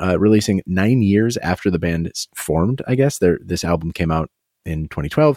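Here is a man with an ordinary speaking voice, fairly low in pitch, talking at a fairly quick pace with lively intonation. The recording is very clean, with a silent background and a dry, close sound with no echo. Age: 30s. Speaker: podcast co-host. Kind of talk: casual chat.

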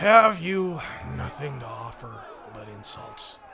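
Putting on a character voice, a man speaks fairly slowly at a fairly high pitch over clear background noise. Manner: condescending.

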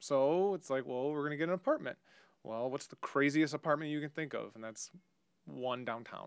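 Speaking with an American accent and a normal speaking voice, a man goes at a fairly quick pace, fairly high in pitch, with ordinary pitch variation and big swings in loudness. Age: 30s. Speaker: bitcoin enthusiast and former poker player. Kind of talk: casual chat.

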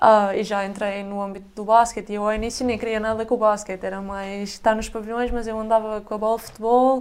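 This woman's voice sits fairly high and moves at a fairly quick pace. Her intonation is monotone and flat. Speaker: basketball player. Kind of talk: casual chat.

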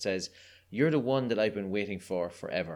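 In a very clean recording with a silent background, a man with an Irish accent talks at a fairly quick pace, his fairly low pitch showing ordinary variation. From Ireland. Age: 30s. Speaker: guest. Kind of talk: casual interview chat. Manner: animated, humorous.

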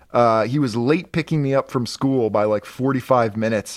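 A man speaks at a medium pitch. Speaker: comic book podcast co-host. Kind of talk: casual comedic chat. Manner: projecting, radio-announcer delivery; animated.

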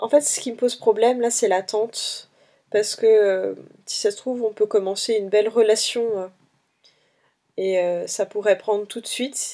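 A dark, mellow tone with fairly even intonation is broken by long, frequent pauses, all on a very clean recording with a silent background. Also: woman. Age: 20s. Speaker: dating app user. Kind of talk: testimony. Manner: halting.

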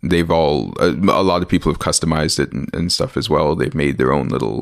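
The voice carries vocal fry and comes with a Canadian accent. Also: man. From Toronto area, Canada (born Winnipeg). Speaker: comic book artist. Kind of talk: interview. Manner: halting.

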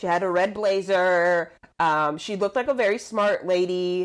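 The woman speaks at a medium pitch and a moderate pace. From Puerto Rico (Luquillo). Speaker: comedian and actress, former lawyer. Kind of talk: casual chat. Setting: video call.

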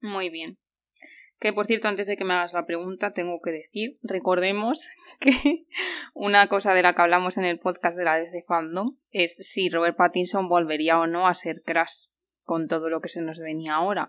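A woman speaks in an unremarkable speaking voice. Her pitch varies in an ordinary way. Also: fairly low pitch for a woman, moderate pace. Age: 30s. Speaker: podcast host. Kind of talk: casual chat.

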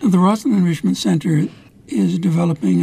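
With a dark, mellow tone, a man speaks in a somewhat breathy voice at a moderate pace, his pitch swinging very widely. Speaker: radio host. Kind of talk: interview.

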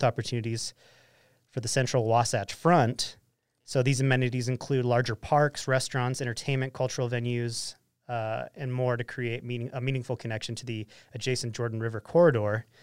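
Speaking in a plain, everyday voice with an American accent, a man talks at a fairly quick pace with medium pitch and fairly even intonation, in a very clean recording with a silent background. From Utah, Ogden area. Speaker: podcast host. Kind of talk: casual chat; reading news aloud.

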